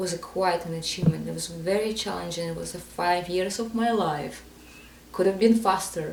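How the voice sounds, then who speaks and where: In a room with audible echo and noticeable background noise, a woman with a non-native accent speaks at a moderate pace in a fairly low voice with fairly even intonation. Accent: foreign. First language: not English. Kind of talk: podcast interview. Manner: halting.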